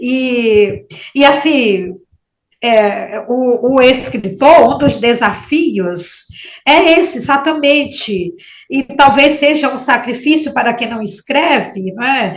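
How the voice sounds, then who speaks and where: At a very slow pace, a woman speaks with a high pitch and lively intonation. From Maranhão, northeastern Brazil. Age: 60s. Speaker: writer. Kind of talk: interview. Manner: halting.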